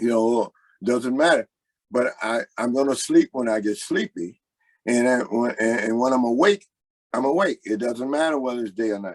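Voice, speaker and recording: A man's normal speaking voice in an American accent, medium in pitch, at a moderate pace with ordinary pitch variation and a dry, close sound with no echo. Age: 60s. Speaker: blues singer. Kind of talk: interview.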